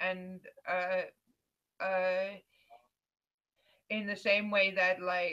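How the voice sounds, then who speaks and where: With a slight Dutch accent, a woman speaks very slowly at a medium pitch, her bright, sharp tone held in a monotone, flat intonation and broken by long, frequent pauses. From Netherlands. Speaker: video vlogger. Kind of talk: casual debate.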